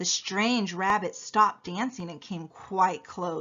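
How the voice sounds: Reading in a natural reading voice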